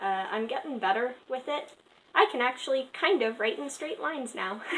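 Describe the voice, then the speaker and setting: The woman's pitch is high. Her intonation is lively. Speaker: art youtuber. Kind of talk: casual sketchbook commentary. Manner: stutter; halting, many fillers.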